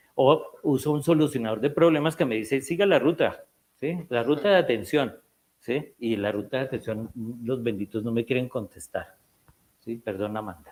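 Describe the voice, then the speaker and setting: Lively in intonation, this man has an unremarkable speaking voice, a medium pitch and a moderate pace. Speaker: psychiatrist. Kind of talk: lecture.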